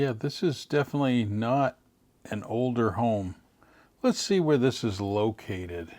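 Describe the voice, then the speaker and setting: In a very clean recording with a silent background, a man with a normal speaking voice talks fairly slowly at a medium pitch, with lively intonation. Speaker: YouTuber reviewing home listings. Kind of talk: screen-share walkthrough commentary.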